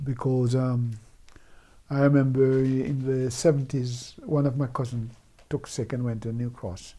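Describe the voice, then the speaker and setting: A man's somewhat breathy, dark, mellow tone holds a moderate pace. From Jamaica, Clarendon. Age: 70s. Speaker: Windrush-generation migrant, former bus worker. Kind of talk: oral history interview. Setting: recorded interview in the evening. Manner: hesitant, repeats words.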